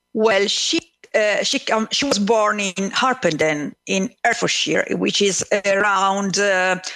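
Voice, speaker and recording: The tone is bright and sharp, with an Italian accent. Speech moves at a very slow pace with ordinary pitch variation. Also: woman, medium pitch for a woman. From Italy, Numana (Marche). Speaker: author. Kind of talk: radio interview. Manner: halting, many fillers.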